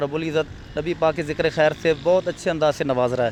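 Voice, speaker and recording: A man with a high pitch. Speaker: traffic warden. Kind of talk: interview answer.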